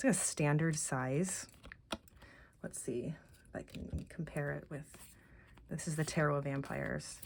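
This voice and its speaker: Soft-spoken and with vocal fry, a woman talks at a very deep, low pitch with fairly even intonation and long, frequent pauses. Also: moderate pace. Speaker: tarot deck reviewer. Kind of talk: casual walkthrough video. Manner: halting, many fillers.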